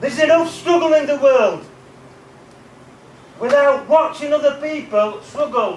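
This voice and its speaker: A man's extremely high-pitched voice, broken by long, frequent pauses, over noticeable background noise. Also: ordinary pitch variation. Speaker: motivational speaker. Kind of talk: motivational talk to students. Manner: animated.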